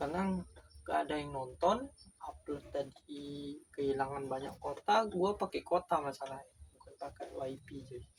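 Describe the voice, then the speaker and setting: This man's voice has a fairly high pitch and is somewhat breathy. His intonation stays fairly even. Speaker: beginner YouTuber. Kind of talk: casual vlog monologue.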